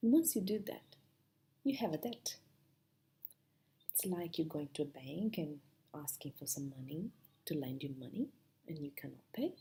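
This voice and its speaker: With a strong non-native accent, a woman speaks in a very deep, low pitch and a dark, mellow, somewhat breathy tone, her intonation lively and her speech broken by long, frequent pauses. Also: moderate pace. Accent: heavy foreign. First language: not English. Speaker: spiritual self-help speaker. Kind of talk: motivational talk to camera.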